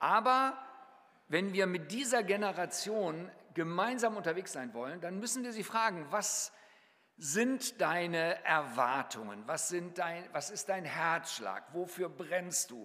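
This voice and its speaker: At a very slow pace, a man talks in a high pitch with lively intonation. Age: 60s. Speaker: mission leader and guest preacher. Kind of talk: sermon.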